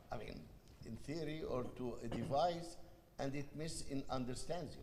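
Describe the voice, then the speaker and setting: Amid noticeable background noise and audible room echo, a man with an Egyptian accent speaks at a moderate pace. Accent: foreign accent, Egyptian. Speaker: panel moderator. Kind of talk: panel discussion.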